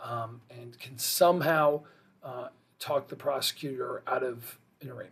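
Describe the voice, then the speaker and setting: A fairly high-pitched male voice. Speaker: criminal defense lawyer. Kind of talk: explainer video. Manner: fast; casual, with fillers.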